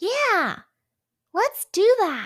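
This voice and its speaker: Using a put-on character voice, the woman sounds squeaky and extremely high in pitch. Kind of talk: children's storytelling. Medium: read story. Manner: excited, chattering.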